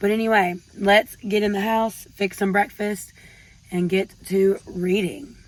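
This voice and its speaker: A woman with a Southern US accent talks at medium pitch with ordinary pitch variation over noticeable background noise. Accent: Southern American. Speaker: book vlogger. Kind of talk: casual vlog.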